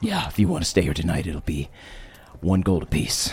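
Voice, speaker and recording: Over light background noise, a man puts on a gruff character voice, very deep and low, at a fairly quick pace. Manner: gruff, grunting.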